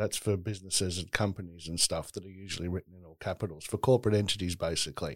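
The speaker talks very fast with an Australian accent, hardly pausing at all. Intonation stays fairly even while loudness swings a lot, on a very clean recording with a silent background. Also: man, very deep, low pitch for a man. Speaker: human rights advocate. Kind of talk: interview conversation.

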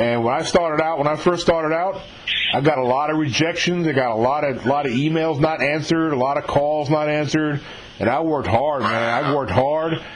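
With noticeable background noise behind him, a man with a fairly high pitch and an American accent speaks at a fairly quick pace with ordinary pitch variation. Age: 50s. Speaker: podcast interviewer. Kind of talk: casual interview.

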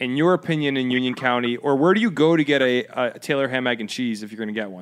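A man with an American accent talks at a fairly quick pace in a medium pitch with ordinary pitch variation and a plain, everyday voice. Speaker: podcast host. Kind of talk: news reading; casual chat. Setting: studio with camera.

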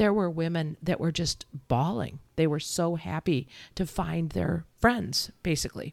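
Speaking at a fairly slow pace, a woman has a fairly low pitch with vocal fry. Her tone is animated. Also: ordinary pitch variation. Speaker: podcast co-host and nutrition teacher. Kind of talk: casual chat.

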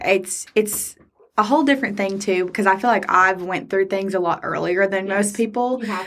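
The woman has a plain, everyday voice, medium in pitch with ordinary variation. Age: 20s. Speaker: wedding photographer and podcast co-host. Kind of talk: casual chat.

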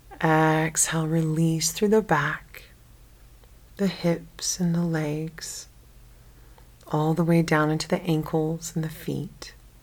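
A calm, monotone voice with flat intonation, a very slow pace and long, frequent pauses. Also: woman, very deep, low pitch for a woman. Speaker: meditation guide. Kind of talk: guided sleep meditation. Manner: slow, calm, soft-spoken.

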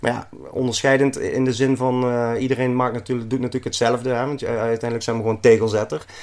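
A man at a very fast pace with hardly any pauses. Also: medium pitch for a man. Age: 40s. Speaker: tiling business owner. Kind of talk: casual interview. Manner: energetic.

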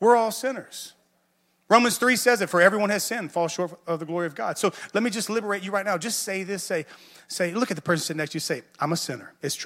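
A man with a Southern US accent speaks very fast in a high voice, his intonation lively and his loudness swinging widely, on a very clean recording with a silent background. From US South. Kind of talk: sermon. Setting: church.

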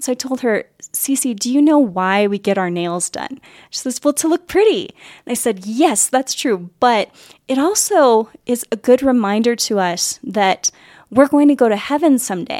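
Speaking at a moderate pace with lively intonation, a woman with a normal speaking voice sits fairly high in pitch, recorded dry and close with no echo. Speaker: podcast host. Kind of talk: casual interview chat.

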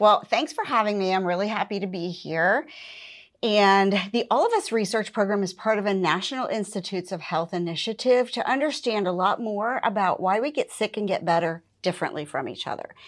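Someone with an American accent talks at a fairly quick pace against a quiet background, using ordinary pitch variation and an unremarkable speaking voice. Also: woman, medium pitch for a woman. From western Pennsylvania. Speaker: public health program director. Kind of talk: interview.

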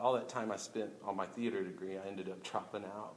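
Fairly quick and fairly even in intonation, a man with an American accent uses an ordinary speaking voice at a fairly low pitch. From Oklahoma City, Oklahoma. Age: 30s. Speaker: stand-up comedian. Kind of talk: casual interview. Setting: live event with audience.

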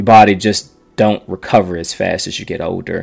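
Noticeable background noise sits under a man talking at a fairly low pitch in a monotone, flat way. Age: 40s. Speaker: podcast host and runner. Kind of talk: solo podcast monologue. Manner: casual, with many fillers and restarts.

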